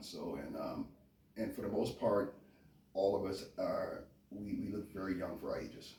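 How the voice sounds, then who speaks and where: This is a man speaking with a Californian accent. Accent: Californian American dialect. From US, Memphis Tennessee and California. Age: 50s. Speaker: interviewee, chef and Marine veteran. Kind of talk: interview, casual conversation. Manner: quiet, reserved.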